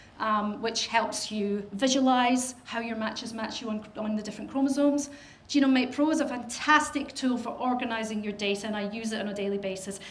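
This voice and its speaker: A woman with a Scottish accent speaks in a fairly high pitch with fairly even intonation and hardly any pauses. Audible room echo and noticeable background noise fill the recording. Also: fairly quick pace. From Scotland. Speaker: professional genealogist. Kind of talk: lecture. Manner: fast.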